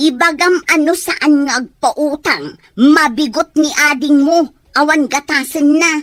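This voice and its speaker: Talking in a put-on character voice, a woman goes at a fairly slow pace with a high pitch, fairly even intonation and hardly any pauses. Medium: audio drama. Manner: scolding, sharp.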